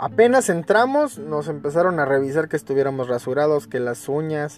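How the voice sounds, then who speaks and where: A man talks with a Mexican accent. His pitch sits fairly high and varies in an ordinary way. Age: 30s. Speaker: podcaster telling his life story. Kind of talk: personal storytelling monologue. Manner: casual, with many fillers and repetitions.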